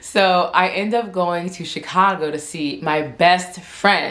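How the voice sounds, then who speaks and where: This woman speaks in a fairly low voice with fairly even intonation, with noticeable background noise and audible room echo. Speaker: vlogger. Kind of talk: casual chat. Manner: stuttering.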